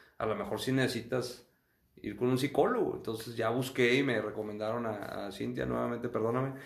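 Over audible room echo, a man at a medium pitch speaks at a fairly quick pace with fairly even intonation. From northern Mexico, Acuña, Coahuila. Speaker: physician. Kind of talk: interview testimony. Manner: halting, frequent repetitions.

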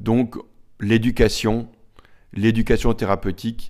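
Fairly low pitch and fairly slow pace in a man's speech. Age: 40s. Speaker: cardiologist. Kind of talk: interview, medical explanation. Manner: hesitant, many fillers.

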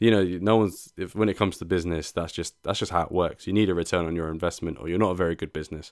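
Speaking at a very fast pace with hardly any pauses, this voice has a British accent and fairly even intonation, captured in a very clean recording against a silent background. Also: man, very deep, low pitch for a man. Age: 20s. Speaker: podcast host. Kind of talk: solo podcast monologue.

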